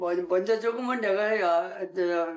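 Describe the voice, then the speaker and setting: A man talks very slowly at a high pitch, with ordinary pitch variation. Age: 90s. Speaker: elderly farmer husband. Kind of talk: casual chat.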